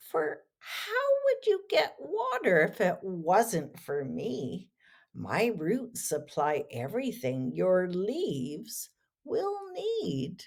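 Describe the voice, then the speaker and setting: A female-sounding voice at middle pitch performs a put-on character voice at a very slow pace. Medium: read story.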